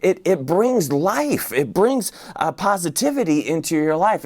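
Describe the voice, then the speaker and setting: A man with a fairly high pitch, lively intonation and an ordinary speaking voice. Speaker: pastor. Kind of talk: sermon.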